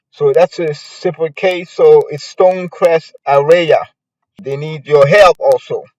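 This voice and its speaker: A man with a non-native accent at a fairly slow pace, his loudness swinging widely. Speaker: podcast host, local news commentator. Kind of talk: casual news commentary podcast. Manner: hesitant, many fillers.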